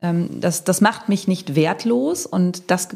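Speaking very slowly, a woman with a medium-pitched voice shows vocal fry. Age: 40s. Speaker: self-employed content creator. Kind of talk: interview.

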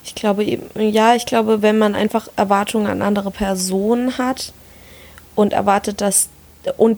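A woman's medium-pitched voice moves at a moderate pace with monotone, flat intonation amid noticeable background noise. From Palatinate, Germany. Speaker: podcast co-host. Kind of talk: casual chat.

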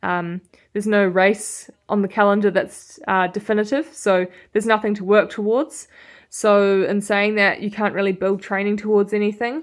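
A woman with a New Zealand accent and fairly even intonation, on a very clean recording with a silent background. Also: medium pitch for a woman, moderate pace. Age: young. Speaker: professional road cyclist. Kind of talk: interview.

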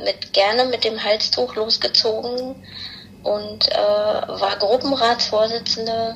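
A woman speaks at a very slow pace, with noticeable background noise behind her. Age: middle-aged. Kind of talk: casual chat.

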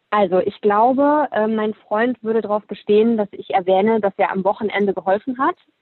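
This woman has a plain, everyday voice with fairly high pitch and ordinary pitch variation. She talks at a fairly quick pace with hardly any pauses. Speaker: fashion entrepreneur. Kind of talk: casual interview.

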